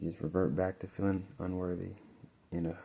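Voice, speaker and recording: Soft-spoken and relaxed in tone, a man with a very deep, low pitch speaks at a fairly quick pace in a monotone, flat intonation. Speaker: tarot reader. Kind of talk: tarot reading monologue. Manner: casual, relaxed.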